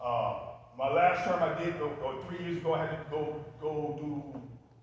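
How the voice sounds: Strong room echo colors a man's fairly high voice and fairly even intonation.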